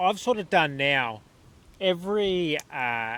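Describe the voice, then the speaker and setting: A man talks with lively intonation in an Australian accent. His tone is bright and sharp. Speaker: podcast host. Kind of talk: casual chat. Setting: caravan park.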